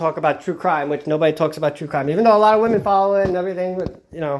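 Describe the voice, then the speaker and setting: Here is a man with a Long Island accent and a high-pitched voice. His intonation stays fairly even. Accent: Long Island New York. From Long Island, New York. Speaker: true crime vlogger. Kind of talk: casual vlog monologue. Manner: halting, many fillers and restarts.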